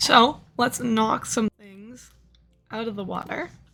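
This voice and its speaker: This woman speaks with a Canadian accent. Her tone is bright, sharp and animated. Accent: Canadian, sentences sound like questions. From Canada. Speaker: video game streamer. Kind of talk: casual live-stream chat.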